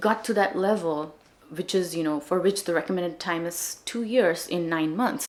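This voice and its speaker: A woman with a Marathi accent speaks at a fairly low pitch, with noticeable background noise behind her. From India, Maharashtra. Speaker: language-learning vlogger. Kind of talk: casual vlog talk.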